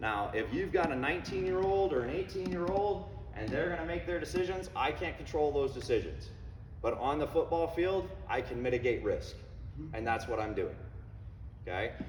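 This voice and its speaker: A man speaks in an animated tone. Audible room echo and noticeable background noise surround him. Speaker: head football coach. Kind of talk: parents meeting presentation. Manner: fast; conversational, animated.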